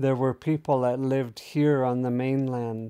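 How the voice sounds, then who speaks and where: Over a silent background in a very clean recording, a man with a medium pitch and a dark, mellow tone speaks at a very slow pace. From Pacific Northwest, Lummi Nation. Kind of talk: oral storytelling.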